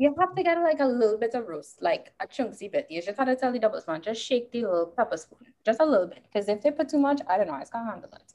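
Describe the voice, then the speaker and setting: With a Trinidadian accent, a woman talks at a very fast pace in a high pitch, her voice making very wide pitch swings and big swings in loudness with hardly any pauses. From Trinidad and Tobago. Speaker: geology graduate student. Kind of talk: casual chat. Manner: halting.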